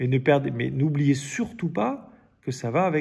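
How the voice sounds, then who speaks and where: Lively intonation marks this man's somewhat breathy, fairly high-pitched voice. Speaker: Bible study leader. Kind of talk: Bible study teaching. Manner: halting, many repetitions and fillers.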